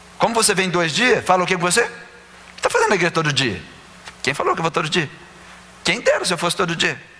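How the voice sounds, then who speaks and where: Over noticeable background noise, a man with a high pitch talks at a very fast pace with long, frequent pauses, ordinary pitch variation, and very even loudness. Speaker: pastor. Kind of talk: sermon.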